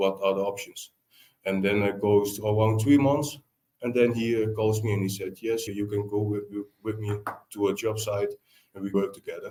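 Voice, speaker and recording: A man's dark, mellow voice with a Dutch accent, fairly low in pitch, monotone and flat in intonation, at a moderate pace. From Netherlands. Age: 20s. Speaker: tiler, business owner. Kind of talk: podcast interview. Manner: halting.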